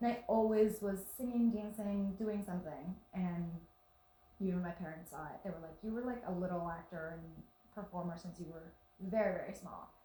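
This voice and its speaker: A woman's voice with big swings in loudness, audible room echo and noticeable background noise. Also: medium pitch for a woman, ordinary pitch variation, moderate pace. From Venezuela. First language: Spanish. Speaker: actress. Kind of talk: casual interview. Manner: animated.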